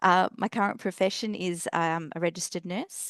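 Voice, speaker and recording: This voice has an Australian accent, a moderate pace and ordinary pitch variation, recorded dry and close with no echo against a quiet background. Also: woman. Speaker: nurse and emergency volunteer. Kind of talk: personal introduction in webinar.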